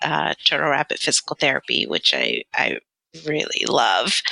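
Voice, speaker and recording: A woman with an American accent at a moderate pace, in a dry, close sound with no echo. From London, then US South and Southern California. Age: 40s. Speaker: physical therapist. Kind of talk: interview.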